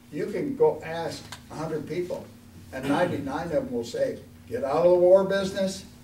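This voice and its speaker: Delivered at a fairly quick pace with very wide pitch swings, the voice carries audible room echo. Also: man. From Oregon. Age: 80s+. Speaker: congressional candidate, war veteran. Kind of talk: candidate forum speech.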